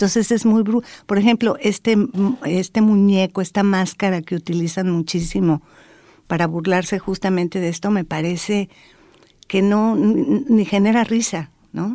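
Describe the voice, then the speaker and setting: Recorded very cleanly against a silent background, a woman with a dark, mellow tone speaks fairly slowly at medium pitch with ordinary pitch variation. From Mexico. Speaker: anthropologist and researcher. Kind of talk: interview.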